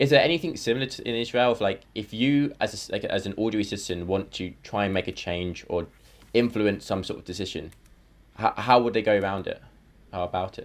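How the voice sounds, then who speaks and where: In a British accent, a man talks very fast at a fairly low pitch. His pitch varies in an ordinary way on a very clean recording with a silent background. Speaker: podcast host. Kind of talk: educational panel discussion.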